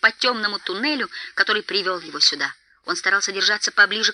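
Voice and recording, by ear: The pitch varies normally. The reading aloud is in a natural voice.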